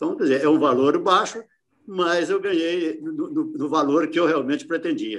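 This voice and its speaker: The male voice is high-pitched with lively intonation. He keeps to a moderate pace. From Minas Gerais, Brazil (Barbacena). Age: 70s. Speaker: retired businessman, course student. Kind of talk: testimonial. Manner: halting, many fillers and repetitions. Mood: calm, satisfied. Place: home room. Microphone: video call.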